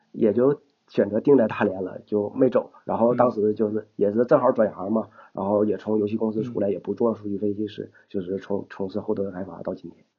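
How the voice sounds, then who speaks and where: Talking at a fairly quick pace, a man with a northeastern Chinese accent speaks at a medium pitch. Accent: northeastern Mandarin. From Shenyang, Liaoning, northeast China. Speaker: programmer and runner. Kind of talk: casual interview chat. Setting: podcast recording.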